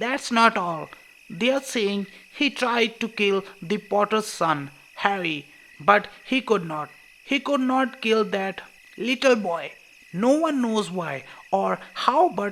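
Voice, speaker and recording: A put-on character voice sits at a fairly high pitch and sounds shaky. It moves at a fairly slow pace. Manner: trembling, distressed.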